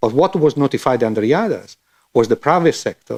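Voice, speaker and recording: A man's voice with vocal fry, fairly high in pitch, with very wide pitch swings, at a moderate pace, in a dry, close sound with no echo and a quiet background. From Italy. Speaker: policy official on panel. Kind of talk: panel discussion. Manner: halting, many false starts.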